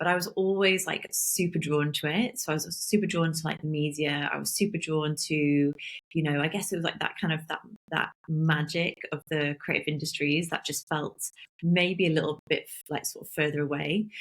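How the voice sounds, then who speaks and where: A woman with a strong Welsh accent, very deep low pitch, fairly even intonation and a moderate pace. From South Wales, Barry. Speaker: talent agency founder. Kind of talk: interview. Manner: halting.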